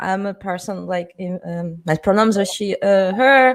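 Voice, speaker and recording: The speaker uses a Portuguese accent and lively intonation at a fairly slow pace. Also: woman. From southern Brazil. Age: 30s. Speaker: panel moderator and punk festival organizer. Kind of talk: panel discussion.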